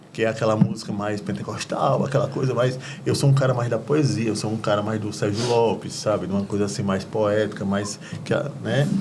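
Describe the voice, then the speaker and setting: A man speaking at a fairly quick pace with ordinary pitch variation, audible room echo and noticeable background noise. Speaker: deacon and gospel singer. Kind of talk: testimony.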